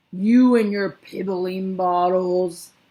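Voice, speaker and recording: This loud, booming, female-sounding voice is a put-on character at a middle pitch. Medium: read story. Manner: bullying, loud.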